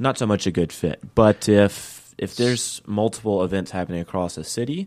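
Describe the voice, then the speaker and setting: In a very clean recording with a silent background, a man's fairly low voice comes across dry and close with no echo. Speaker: startup sales lead. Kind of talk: radio interview. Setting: studio.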